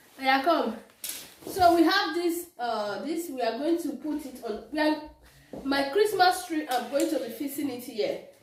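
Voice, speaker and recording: A woman speaks at a high pitch with lively intonation and big swings in loudness. The room echo is audible, and there is noticeable background noise. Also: moderate pace. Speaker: lifestyle vlogger. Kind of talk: casual vlog chat.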